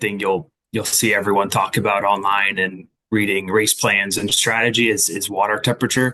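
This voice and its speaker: A man with a fairly low pitch and a bright, sharp tone, at a moderate pace with fairly even intonation. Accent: American. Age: 20s. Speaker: amateur triathlete. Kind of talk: interview. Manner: hesitant, many fillers.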